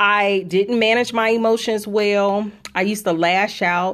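A woman with a plain, everyday voice speaks in an American accent at medium pitch with fairly even intonation. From Chicago, South Side. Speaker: author and podcast co-host. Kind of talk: inspirational faith talk.

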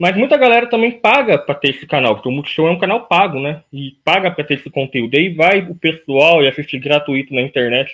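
The man talks at a fairly quick pace, his pitch making very wide swings. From Brazil, interior of São Paulo state. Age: 20s. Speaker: YouTuber and podcast host. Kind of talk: interview.

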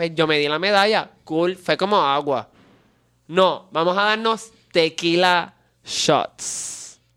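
In a very clean recording with a silent background, a man with a Puerto Rican accent talks very slowly in a high-pitched voice with a bright, sharp tone. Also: ordinary pitch variation. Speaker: podcast co-host. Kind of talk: casual chat.

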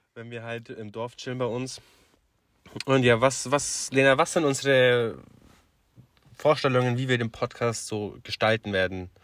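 On a very clean recording with a silent background, a man talks at a fairly slow pace and medium pitch, with long, frequent pauses and big swings in loudness. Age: 20s. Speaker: podcast co-host. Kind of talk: casual chat. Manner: animated.

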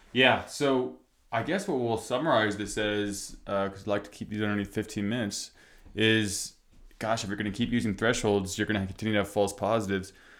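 A man with a normal speaking voice, fairly low in pitch with ordinary pitch variation, at a fairly quick pace in a very clean recording with a silent background. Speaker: podcast host. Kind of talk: casual conversational podcast chat. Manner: casual, filler-heavy, laughs often.

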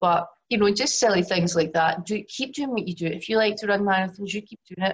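A woman speaks in a Glaswegian accent, somewhat breathy, with fairly even intonation. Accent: Glaswegian Scottish. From Scotland, Glasgow. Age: 40s. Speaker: yoga teacher and women's health coach. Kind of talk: webinar presentation.

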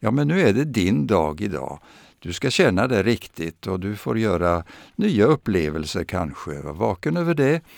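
A man with a fairly low voice talks at a moderate pace, his pitch swinging very widely, in a very clean recording with a silent background. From Sweden, Östergötland (Vadstena). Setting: radio studio.

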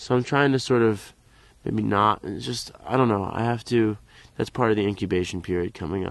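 A man with an American accent talks at a fairly quick pace in an unremarkable speaking voice, fairly low in pitch. His intonation stays fairly even against a quiet background. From US, Philadelphia area. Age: 20s. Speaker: klezmer trombonist. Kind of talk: interview. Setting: on location at a music camp.

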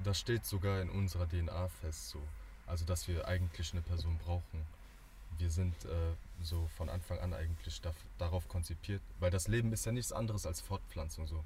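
Very deep and low, the man's voice has a dark, mellow tone, somewhat breathy, with ordinary pitch variation. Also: moderate pace. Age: 20s. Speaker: student. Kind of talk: casual chat.

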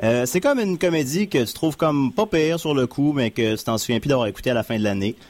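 Lively intonation marks this man's delivery at a fairly quick pace. He has an unremarkable speaking voice. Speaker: community radio host. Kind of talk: casual chat. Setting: studio.

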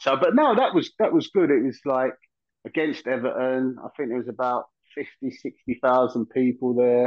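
With a London accent, a man speaks at a medium pitch and moderate pace with ordinary pitch variation. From South London. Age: 50s. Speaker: former footballer. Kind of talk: casual chat.

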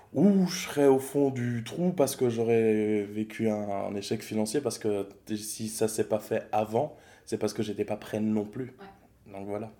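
Speaking in a normal speaking voice at a fairly slow pace, a man with a fairly low pitch shows ordinary pitch variation and big swings in loudness. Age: 30s. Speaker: stand-up coach. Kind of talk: casual chat.

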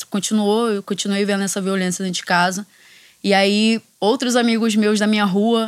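The speaker has a Rio de Janeiro accent and a moderate pace. The intonation is monotone and flat. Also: woman. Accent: Carioca Brazilian Portuguese. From Rio de Janeiro, Complexo da Maré. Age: 20s. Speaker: judo instructor and NGO founder. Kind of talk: interview conversation.

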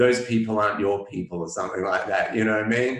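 A man speaks with an Australian accent. Audible room echo colors the recording. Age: 40s. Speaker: publicist and author. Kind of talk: interview conversation.

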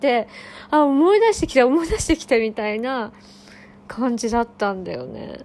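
A woman with a high voice speaks at a moderate pace, and background noise is noticeable. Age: 20s. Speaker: podcaster and spiritual session practitioner. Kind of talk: casual solo monologue.

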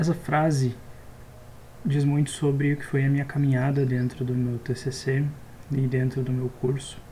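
This man talks at a fairly slow pace with long, frequent pauses, a fairly high pitch, very even loudness and a monotone, flat intonation. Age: 20s. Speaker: software engineering student and podcaster. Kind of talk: casual solo monologue.

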